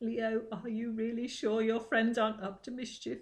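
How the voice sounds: Shaky and fairly high in pitch, a female-sounding voice performs a put-on character voice at a moderate pace.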